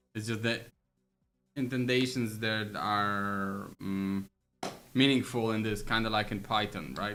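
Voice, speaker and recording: Music plays behind a man with a non-native accent who speaks fairly slowly at a fairly low pitch, his intonation fairly even and his speech broken by long, frequent pauses. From Poland. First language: Polish. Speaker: game programmer streamer. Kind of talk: livestream coding with chat. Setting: livestream. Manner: casual, thinking aloud with fillers.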